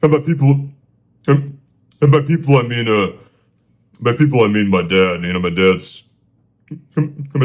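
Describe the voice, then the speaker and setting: Pitch swings very widely as a man speaks. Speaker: solo podcaster. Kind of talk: casual storytelling monologue. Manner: stuttering, many fillers; halting, repetitive.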